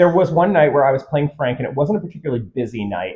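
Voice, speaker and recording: With a plain, everyday voice, a man speaks fairly quickly at a fairly high pitch and with lively intonation. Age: 40s. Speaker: former shadowcast performer. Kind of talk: interview.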